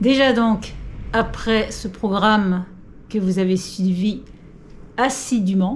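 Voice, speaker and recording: A woman's fairly high, somewhat breathy voice at a very slow pace, with long, frequent pauses, fairly even intonation and audible room echo. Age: 60s. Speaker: senior fitness coach. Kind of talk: tutorial. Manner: casual, hesitant with fillers.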